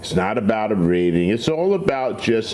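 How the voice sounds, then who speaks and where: A man's speech comes with audible room echo and noticeable background noise. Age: 60s. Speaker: cigar reviewer and truck owner. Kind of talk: casual vlog chat. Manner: relaxed, laid-back.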